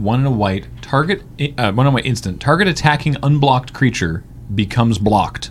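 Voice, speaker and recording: There is music in the background. A man speaks over it at medium pitch. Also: lively intonation, fairly quick pace. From Western Canada. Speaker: podcast host. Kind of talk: casual chat.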